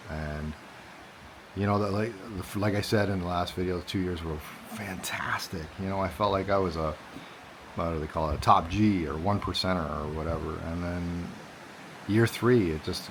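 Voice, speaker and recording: A man's very deep, low voice at a moderate pace, with long, frequent pauses and fairly even intonation, amid audible room echo and noticeable background noise. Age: 40s. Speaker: vlogger. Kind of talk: personal vlog monologue. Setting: outdoors. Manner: halting, repetitive.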